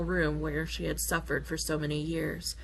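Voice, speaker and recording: At a moderate speed, a woman talks amid audible room echo. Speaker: gamer. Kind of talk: reading aloud. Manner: soothing.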